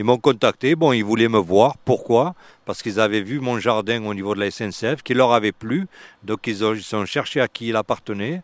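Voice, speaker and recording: An ordinary speaking voice, a man talks at a moderate pace and medium pitch with ordinary pitch variation, the sound dry and close with no echo on a very clean recording with a silent background. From Marseille, France. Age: 60s. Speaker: urban gardener. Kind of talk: casual chat. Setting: outdoors.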